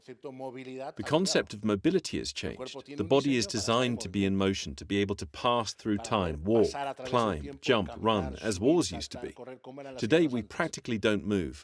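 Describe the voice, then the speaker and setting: Using vocal fry, a man swings widely in pitch and sharply in loudness. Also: medium pitch for a man, moderate pace. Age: 60s. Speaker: health coach. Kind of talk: interview. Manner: animated.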